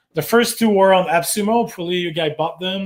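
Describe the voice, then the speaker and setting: A high-pitched man speaks at a fairly quick pace in a French Canadian accent. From Quebec. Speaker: marketing agency owner. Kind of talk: webinar workshop presentation. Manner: many filler words (uh).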